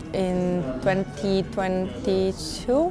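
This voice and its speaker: A woman of medium pitch with an Italian accent, music in the background. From Italy, Rome. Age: 20s. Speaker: musician. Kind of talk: interview.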